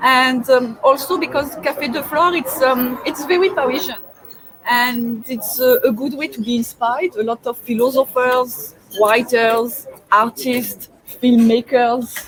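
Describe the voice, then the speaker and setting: With a strong French accent, a woman speaks high for a woman at a fairly slow pace, her pitch varying in an ordinary way over noticeable background noise. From France. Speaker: webinar host. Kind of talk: casual interview chat. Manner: hesitant, many fillers.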